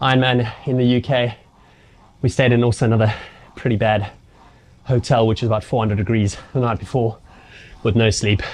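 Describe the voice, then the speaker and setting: A man's medium-pitched, somewhat breathy voice unfolds at a moderate pace. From South Africa. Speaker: triathlon coach. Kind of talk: casual storytelling. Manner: animated.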